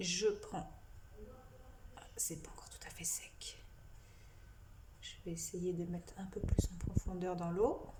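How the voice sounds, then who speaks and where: A woman talks at a very slow pace, leaving long, frequent pauses, her loudness swinging widely in a room with audible echo. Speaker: psychic medium. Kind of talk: tutorial. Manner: halting.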